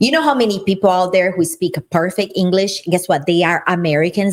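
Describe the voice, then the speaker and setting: A woman's animated, medium-pitched voice with a Brazilian accent. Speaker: podcast co-host, business owner. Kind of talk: casual chat.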